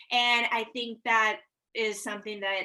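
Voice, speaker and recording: Pitched fairly high, a woman's voice has a bright, sharp tone. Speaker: real estate agent. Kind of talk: casual group video call about sales tips. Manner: fast.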